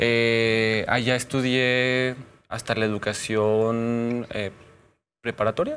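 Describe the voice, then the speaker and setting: A very slow, monotone delivery with flat intonation. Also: man. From Zacatecas, Mexico (Fresnillo); Zacatecas, Mexico. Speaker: general practitioner doctor and social media personality; guest. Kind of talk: casual interview chat. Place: studio. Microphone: lapel.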